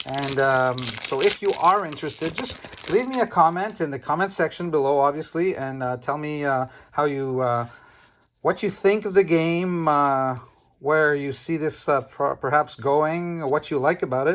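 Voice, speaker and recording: A man's fairly high voice with a Quebec accent and ordinary pitch variation, in a very clean recording over a silent background. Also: moderate pace. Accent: French Canadian accent in English. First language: French. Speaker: trading card game YouTuber. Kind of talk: casual card-opening video talk. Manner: halting, many fillers.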